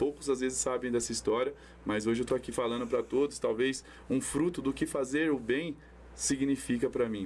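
A man talks at a fairly quick pace, his loudness very even throughout. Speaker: amateur football tournament organizer. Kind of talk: casual chat. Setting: studio.

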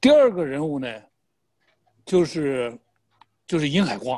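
Lively intonation at a moderate pace, in a man's fairly high pitch. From Shandong, Jinan. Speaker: political commentator. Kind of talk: political discussion.

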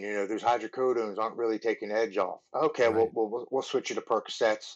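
Against a quiet background, a man with a Baltimore accent talks at a fairly quick pace in a fairly low pitch. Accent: Baltimore American. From Baltimore, Maryland. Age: 30s. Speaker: former Marine and MMA fighter in recovery. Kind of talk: personal testimony in interview.

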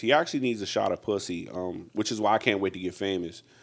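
In an unremarkable speaking voice, a man talks with a fairly low pitch and ordinary pitch variation. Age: 40s. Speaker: comedian. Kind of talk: casual chat.

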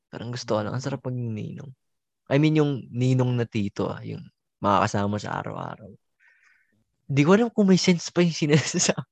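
The speaker's delivery comes very fast with lively intonation, big swings in loudness and long, frequent pauses, all in a dry, close sound with no echo. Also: man, medium pitch for a man. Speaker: podcast co-host, college student. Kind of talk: casual chat.

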